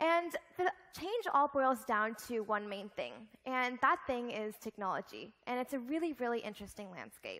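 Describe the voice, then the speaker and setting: Her pitch is high and her intonation lively. A woman speaks at a moderate pace. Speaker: keynote speaker. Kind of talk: keynote speech. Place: stage.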